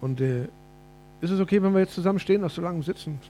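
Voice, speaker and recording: A man with a high pitch talks at a very fast pace. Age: 50s. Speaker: preacher. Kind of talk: sermon.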